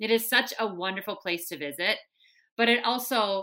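A woman with a strong Minnesotan accent, bright and sharp in tone, fairly even in intonation at a moderate pace, on a very clean recording with a silent background. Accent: thick Minnesotan. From Minnesota, US. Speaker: Olympian runner and broadcaster. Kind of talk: interview, casual chat.

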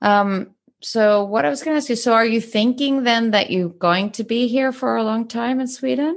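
A woman with a fairly high pitch, an ordinary speaking voice, ordinary pitch variation, a moderate pace and hardly any pauses. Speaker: podcast host and therapist. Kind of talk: casual interview chat.

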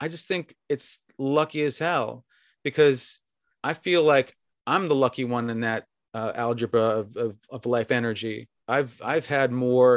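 A man of medium pitch uses a normal speaking voice with fairly even intonation, in a dry, close sound with no echo. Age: 60s. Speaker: restaurant beverage director and sommelier. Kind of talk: casual interview chat. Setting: remote call from home bedroom.

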